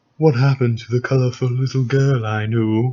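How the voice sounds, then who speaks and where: A put-on character voice runs at a fairly quick pace. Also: man, medium pitch for a man. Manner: villainous, murmuring.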